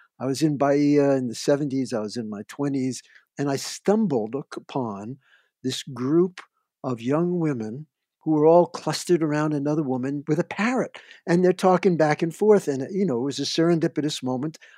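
A man with an American accent and a dark, mellow tone speaks at a moderate pace with a fairly high pitch and lively intonation, recorded in a dry, close sound with no echo against a quiet background. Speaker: field recordist and radio producer. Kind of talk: interview. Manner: chatty, warm, humorous.

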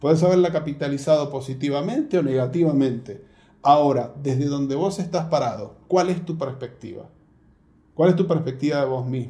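A man talks at a moderate pace in a fairly high pitch with ordinary pitch variation and a dark, mellow, somewhat breathy tone. Audible room echo surrounds the voice. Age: 40s. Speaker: pastor. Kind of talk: interview conversation.

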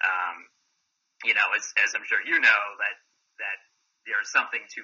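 At a fairly quick pace, a man speaks with an American accent. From Massachusetts, Boston area. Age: 40s. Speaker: actor and football analyst. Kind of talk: casual chat. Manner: halting, many fillers.

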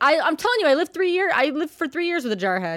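A woman raises and projects her high-pitched voice. Her pitch swings very widely. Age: 30s. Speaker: podcast host. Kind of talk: casual chat.

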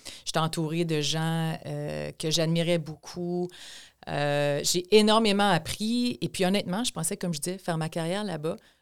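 A woman's unremarkable speaking voice, fairly low in pitch with ordinary variation, at a fairly slow pace. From Quebec, Chaudière-Appalaches (Thetford Mines). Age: 50s. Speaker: provincial politician. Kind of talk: interview.

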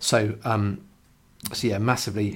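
A man's somewhat breathy voice sits at a fairly low pitch. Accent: English. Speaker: coworking space owner and podcast host. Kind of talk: solo podcast monologue. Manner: casual with many fillers.

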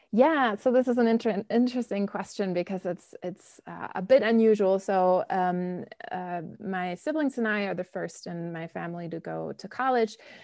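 A woman with a German accent speaks in a dark, mellow tone with ordinary pitch variation and hardly any pauses. The recording is very clean, with a silent background. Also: medium pitch for a woman, moderate pace. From Germany, Bonn. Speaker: professor. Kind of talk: interview.

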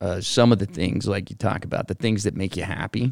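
A man's fairly low voice with vocal fry and ordinary pitch variation, on a very clean recording with a silent background. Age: 40s. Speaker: podcast co-host. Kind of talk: casual chat.

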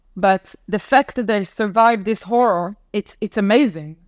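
Recorded very cleanly against a silent background, dry and close with no echo, a woman speaks at a fairly high pitch with an Israeli accent. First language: Hebrew. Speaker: former diplomat and content consultant. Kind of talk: interview testimony. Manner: halting.

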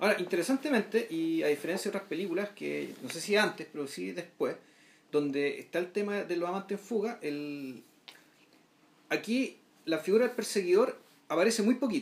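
A man with a Chilean accent speaks at a fairly quick pace in a high voice. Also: lively intonation. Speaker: film podcast co-host. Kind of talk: casual film discussion.

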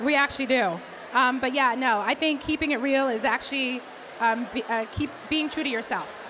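A woman with an American accent speaks in a raised, projected, high voice at a moderate pace with ordinary pitch variation, over noticeable background noise. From Boston, US. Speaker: diversity executive, conference founder. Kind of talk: interview conversation.

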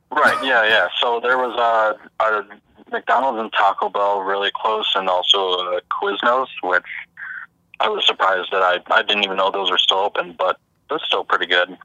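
This man has an ordinary speaking voice, pitched fairly low. He talks at a moderate pace with ordinary pitch variation. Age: 20s. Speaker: janitor. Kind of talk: casual chat. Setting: phone call.

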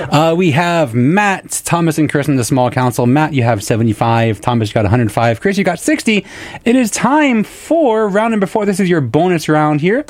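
Upbeat and playful, this voice runs on with hardly any pauses over noticeable background noise. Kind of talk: live radio trivia game show hosting. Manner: upbeat, quick-witted, playful banter with contestants; animated, encouraging, counts down the clock and cheers answers.

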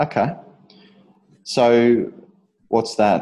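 Speaking with an Australian accent, a man has a dark, mellow tone. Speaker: fitness podcast host, personal trainer. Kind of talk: casual interview.

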